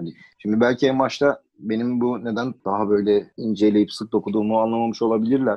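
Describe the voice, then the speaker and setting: A man speaks at a fairly quick pace with hardly any pauses, in an ordinary speaking voice at medium pitch and with fairly even intonation. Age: 30s. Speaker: podcast guest. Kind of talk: casual chat.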